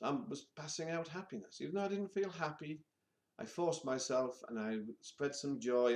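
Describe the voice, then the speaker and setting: Talking at a fairly quick pace, a man with a British accent uses lively intonation. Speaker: vlogger. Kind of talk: personal vlog monologue.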